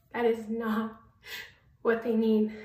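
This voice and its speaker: Very slow speech from a woman at a fairly high pitch, with audible room echo. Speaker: vlogger. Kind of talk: casual vlog. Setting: at home.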